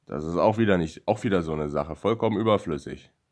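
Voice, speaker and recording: A man talks very fast in a very deep, low voice with vocal fry. His pitch varies in an ordinary way. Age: 20s. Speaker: YouTuber. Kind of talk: vlog monologue. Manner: halting.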